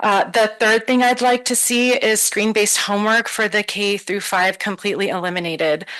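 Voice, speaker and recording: A woman speaks at a fairly quick pace with a fairly high pitch. Her intonation stays fairly even over noticeable background noise. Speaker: parent giving public comment. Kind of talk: public comment at board meeting. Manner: fast.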